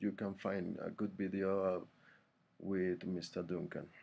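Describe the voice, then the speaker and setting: A man with a non-native accent. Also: quiet background. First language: not English. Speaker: English learner vlogger. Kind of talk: tutorial. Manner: halting, many fillers.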